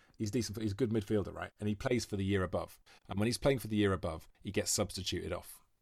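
Speaking very fast, a man with a Welsh accent talks at a fairly low pitch. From Wales, Monmouth. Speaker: actor and comedian. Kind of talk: casual chat. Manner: animated.

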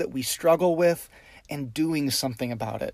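A normal speaking voice from a man, moderate in pace, fairly high-pitched, with ordinary pitch variation. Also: very clean recording, silent background. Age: 30s. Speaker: pastor. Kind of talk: sermon. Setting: recording in his car.

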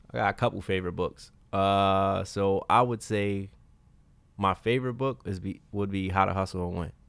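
On a very clean recording with a silent background, a man with an American accent uses an unremarkable speaking voice at a moderate pace, pitched fairly low with ordinary pitch variation. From Brooklyn, New York. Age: 30s. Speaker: author. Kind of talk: casual interview chat.

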